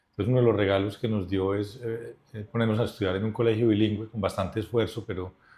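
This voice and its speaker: Very fast, somewhat breathy speech from a man, fairly low in pitch, with monotone, flat intonation. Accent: Antioquian. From Colombia, Medellín (Antioquia). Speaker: business leader. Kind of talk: interview conversation.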